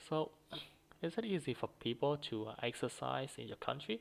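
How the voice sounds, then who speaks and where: The speaker has a Vietnamese accent. The pace is moderate. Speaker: student practicing for exam. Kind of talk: exam speaking practice. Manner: halting, many fillers and repetitions.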